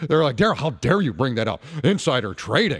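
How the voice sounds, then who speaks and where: Vocal fry and very wide pitch swings in a man's fairly high-pitched voice. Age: 50s. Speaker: radio talk show host. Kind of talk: call-in talk radio.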